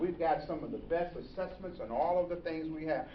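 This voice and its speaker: Fairly quick, animated speech from a man with a high pitch, plus audible room echo and noticeable background noise. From Nashville, Tennessee. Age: 60s. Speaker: pastor. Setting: luncheon with audience.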